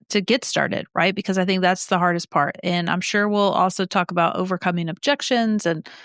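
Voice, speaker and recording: On a very clean recording with a silent background and a dry, close sound with no echo, a woman speaks in an ordinary speaking voice at medium pitch, with fairly even intonation, very even loudness and hardly any pauses. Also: fairly quick pace. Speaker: podcast co-host. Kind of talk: casual chat.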